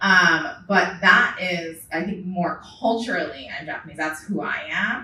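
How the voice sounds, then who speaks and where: Background noise is noticeable as a woman speaks at a fairly low pitch. Her intonation is lively and her pace fairly slow. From Hawaii. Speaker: auto distribution executive. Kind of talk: panel discussion.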